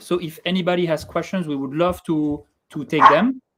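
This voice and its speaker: The speaker talks at a moderate pace with a slight French accent. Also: man. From France. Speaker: tech startup co-founder. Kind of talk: video call product demo.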